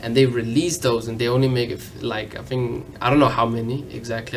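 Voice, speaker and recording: Delivered at a fairly quick pace, a man's monotone, flat intonation comes through audible room echo and noticeable background noise. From Denmark. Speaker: fashion enthusiast. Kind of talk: casual interview. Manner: halting.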